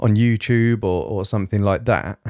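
A man with a fairly low pitch, a dark, mellow tone, and monotone, flat intonation at a moderate pace, with a dry, close sound, no echo, in a very clean recording with a silent background. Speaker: podcast host. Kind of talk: casual monologue. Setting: home recording at night.

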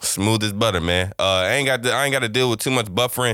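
A man speaks at a very fast pace with fairly even intonation. His tone is bright and sharp. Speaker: podcast host. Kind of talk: casual chat.

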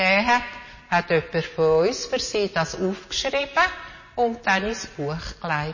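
At a fairly slow pace, a woman talks with very wide swings in pitch over noticeable background noise. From Switzerland, city of Zürich. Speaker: storyteller in a family church service. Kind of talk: children's Bible storytelling.

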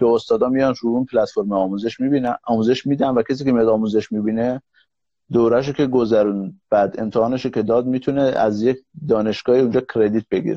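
Speaking at a fairly quick pace with a non-native accent, a man keeps his loudness very even and his intonation fairly even. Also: medium pitch for a man. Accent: foreign-sounding Persian. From Iran, Kurdish (Mahabad). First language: Kurdish (speaking Persian). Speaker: serial entrepreneur. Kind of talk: live stream interview. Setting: live stream call.

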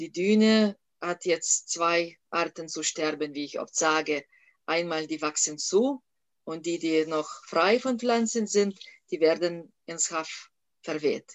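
A woman speaks with a Lithuanian accent at a fairly low pitch. Her pace is very slow, with ordinary pitch variation. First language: Lithuanian (speaking German). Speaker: national park director. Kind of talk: interview. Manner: hesitant, many fillers.

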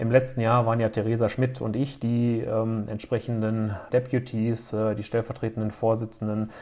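A man's medium-pitched voice in a monotone, flat intonation, with hardly any pauses. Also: moderate pace, very clean recording, silent background. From Germany, Höxter district (East Westphalia). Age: 30s. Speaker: business association chairman and city councillor. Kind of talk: podcast interview. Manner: frequent filler hesitations.

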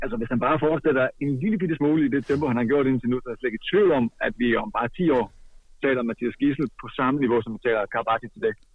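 A man talks at a very fast pace in a medium pitch, with lively intonation. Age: 30s. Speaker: handball expert commentator. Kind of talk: casual chat.

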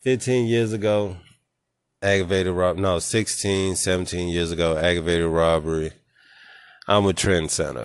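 A man's very deep, low pitch, with ordinary pitch variation, very even loudness, a moderate pace, and long, frequent pauses. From Nashville, Tennessee, US South. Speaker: podcast host. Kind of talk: casual chat.

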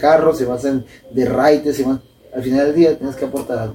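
A man at a medium pitch and moderate pace, his intonation monotone and flat, with noticeable background noise. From Sinaloa, Mexico. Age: 20s. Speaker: professional boxer. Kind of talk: casual interview.

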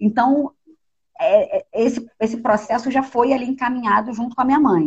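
A woman speaks at a moderate pace in a somewhat breathy voice, with a dry, close sound that has no echo. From Rio de Janeiro, North Zone suburb. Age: 30s. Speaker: filmmaker. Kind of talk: interview conversation. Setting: online live stream.

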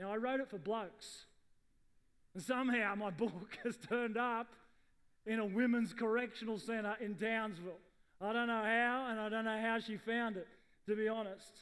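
In an Australian accent, a man with a high pitch talks at a moderate pace. His intonation is fairly even, and he pauses long and often. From Sydney western suburbs, Australia. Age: middle-aged. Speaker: pastor. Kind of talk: sermon.

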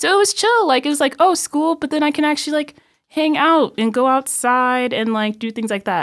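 The speaker has a Midwestern American accent and lively intonation. The pace is fairly quick. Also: woman, high pitch for a woman. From Illinois, US Midwest. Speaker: university student. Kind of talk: casual chat.

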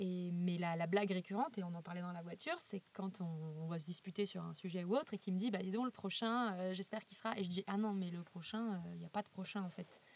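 Her pace is very fast, with hardly any pauses. The woman's pitch is medium, with ordinary variation. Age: 30s. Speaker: illustrator. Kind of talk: interview.

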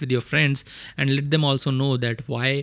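In an Indian accent, a man speaks at medium pitch and a fairly quick pace. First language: Hindi. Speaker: car technology podcaster. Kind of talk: solo explainer podcast.

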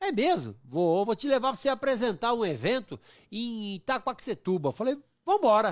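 Through a very clean recording with a silent background, a high-pitched man speaks at a moderate pace with very wide pitch swings. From São Paulo, East Zone. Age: 50s. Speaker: comedian. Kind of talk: casual chat.

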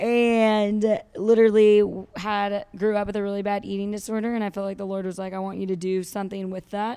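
Her tone dark and mellow, a woman speaks at a fairly quick pace with monotone, flat intonation. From California, Santa Barbara. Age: 20s. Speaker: confidence coach and speaker. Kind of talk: casual interview chat.

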